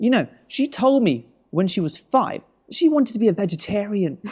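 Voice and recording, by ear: Big pitch swings mark a put-on character voice at a moderate pace, its tone slightly mellow with a slightly husky edge. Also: man, high pitch for a man.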